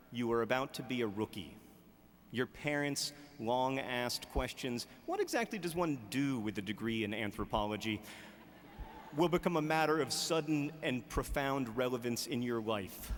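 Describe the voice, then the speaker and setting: At a moderate pace, a man with a medium pitch speaks over noticeable background noise. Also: ordinary pitch variation. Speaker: author. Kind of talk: commencement speech.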